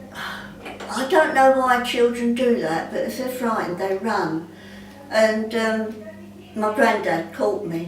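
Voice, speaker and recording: In a room with audible echo and noticeable background noise, a woman talks at a fairly slow pace with ordinary pitch variation. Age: 80s+. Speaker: interviewee sharing memories. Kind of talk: oral history interview. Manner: hesitant, many fillers.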